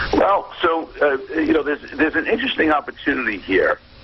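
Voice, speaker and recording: A man talks at a moderate speed. Noticeable background noise accompanies him. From New York. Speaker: negotiation expert. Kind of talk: radio interview. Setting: phone call.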